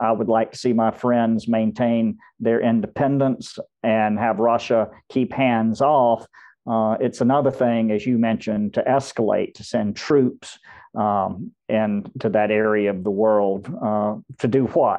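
A man with an American accent and a normal speaking voice, medium pitch, fairly even intonation and a fairly slow pace. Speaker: lawyer and research fellow. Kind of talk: panel discussion.

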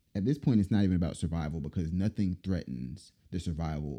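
Very deep and low, this man's voice has a dark, mellow tone with vocal fry, lively intonation and a fairly quick pace. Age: 30s. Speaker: podcast host. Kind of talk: casual commentary monologue.

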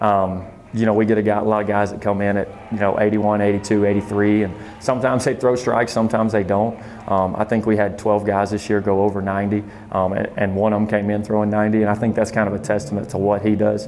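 Over noticeable background noise, the speaker talks in a Southern US accent with monotone, flat intonation. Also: man, fairly low pitch for a man, fairly quick pace. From southern Arkansas (El Dorado). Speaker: junior college baseball coach. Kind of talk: interview.

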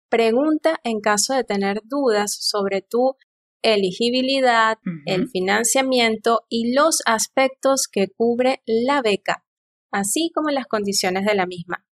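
Her pitch fairly high with ordinary variation, a woman speaks in an ordinary speaking voice, the sound dry and close with no echo. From eastern Venezuela, El Tigre. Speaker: geoscientist and doctoral student. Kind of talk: interview.

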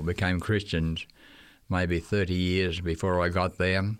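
A man with an Australian accent speaks at a very deep, low pitch. He talks at a fairly slow pace. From Australia, Queensland. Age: 80s+. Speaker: retired missionary teacher. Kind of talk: casual interview, recalling stories. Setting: radio studio.

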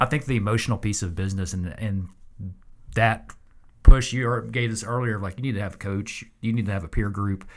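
A man with a normal speaking voice talks fairly quickly in a fairly low pitch with fairly even intonation. The recording is very clean, with a silent background. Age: 40s. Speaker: podcast host. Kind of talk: casual interview conversation.

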